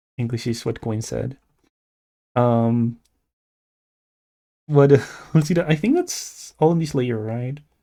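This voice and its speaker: Mumbling at a very slow pace with long, frequent pauses, a man speaks at medium pitch in a dark, mellow tone with ordinary pitch variation. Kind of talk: casual live-stream chat while drawing. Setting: live stream. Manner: halting, stammering.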